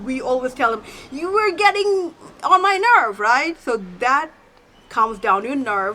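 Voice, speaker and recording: A woman with a non-native accent speaks at a moderate pace and a high pitch. Her pitch swings very widely over noticeable background noise. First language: not English. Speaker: self-help YouTuber. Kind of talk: tutorial. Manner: animated.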